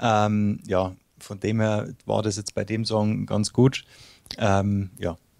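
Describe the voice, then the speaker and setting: The man talks very slowly in a monotone, flat intonation. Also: fairly low pitch for a man. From Bavaria, Munich area. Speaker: singer-songwriter. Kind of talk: interview. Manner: hesitant, many fillers.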